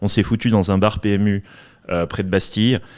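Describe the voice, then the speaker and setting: Speaking very fast, a man uses a fairly low pitch and flat, monotone intonation in a very clean recording with a silent background. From Paris, France. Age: 30s. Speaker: entrepreneur. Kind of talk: podcast interview.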